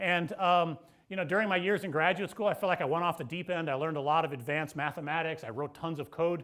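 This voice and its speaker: A man with an American accent speaks loudly and very fast in a high voice. His pitch shows ordinary variation. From US Midwest, St. Louis. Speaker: professor. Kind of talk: keynote lecture. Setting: lecture hall with audience. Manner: casual, with fillers.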